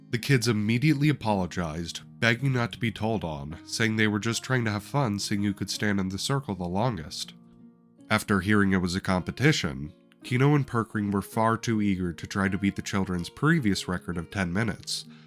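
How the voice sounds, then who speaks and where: A man talks fairly quickly with lively intonation while music plays behind him. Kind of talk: campaign recap narration.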